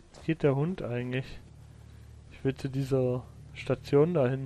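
A man at a medium pitch, very slow, with long, frequent pauses and big swings in loudness. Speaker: video game streamer. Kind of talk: live gameplay commentary. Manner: sparse talking.

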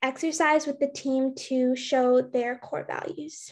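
Over a quiet background, a woman with a high pitch speaks very slowly in a monotone, flat way. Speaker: student presenter; presenter. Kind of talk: presentation. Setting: video call. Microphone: webcam.

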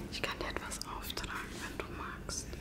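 A soft-spoken woman whispers at a moderate pace. Loud background noise sits behind her. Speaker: ASMR creator. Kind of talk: soft-spoken ASMR role-play chat. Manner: soft intimate whisper close to mic. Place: home room. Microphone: phone near.

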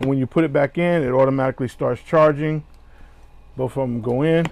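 The man's speech sounds dry, without any echo. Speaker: product reviewer. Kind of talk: unboxing tutorial.

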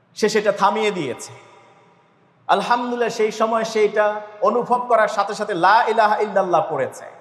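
Audible room echo surrounds a man whose high pitch stays monotone and flat. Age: 40s. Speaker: imam preacher. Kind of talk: Friday sermon.

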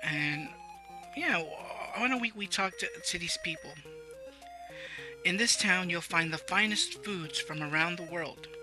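Music plays in the background. The speech moves at a fairly slow pace with long, frequent pauses. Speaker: let's play gamer. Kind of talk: gameplay commentary. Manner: stuttering.

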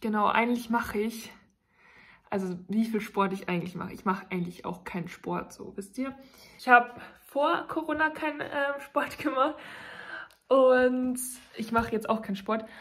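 Delivered at a moderate pace with ordinary pitch variation, the speech has long, frequent pauses and big swings in loudness. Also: woman. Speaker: vlogger. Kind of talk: casual vlog chat. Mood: cheerful, chatty. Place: home room. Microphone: phone near.

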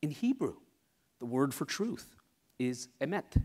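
A man's voice against a quiet background. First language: Tamil. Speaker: scientist. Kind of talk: talk to live audience. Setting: stage with audience. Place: hall.

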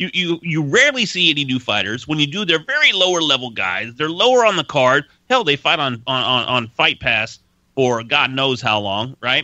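Fairly high in pitch, a man uses an ordinary speaking voice at a moderate pace with lively intonation, the sound dry with no echo and the background quiet. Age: 40s. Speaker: voice-over artist and podcast host; guest host. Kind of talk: casual podcast chat. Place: studio.

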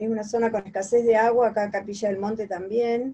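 Here a woman speaks at a moderate pace. Her tone is dark and mellow. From Argentina, Mercedes (Buenos Aires province); Buenos Aires province, Argentina. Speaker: singer; interviewee. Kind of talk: interview. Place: home room. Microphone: video call.

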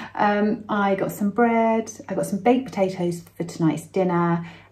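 With a dark, mellow tone that is somewhat breathy, a woman speaks at a fairly slow pace with ordinary pitch variation. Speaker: vlogger. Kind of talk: casual vlog chat. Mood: cheerful, playful. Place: home room. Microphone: phone near.

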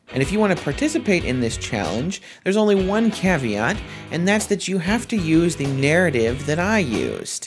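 Clear music plays in the background as the speaker moves at a moderate pace with very wide pitch swings. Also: man, high pitch for a man. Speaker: youtuber. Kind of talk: casual talk to camera. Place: home room.

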